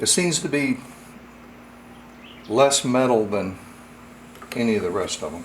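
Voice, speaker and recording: A man talks at a moderate pace, with noticeable background noise and an audible echo in the room. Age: 60s. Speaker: firearms hobbyist reviewer. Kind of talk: tutorial. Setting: home workshop. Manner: casual, halting.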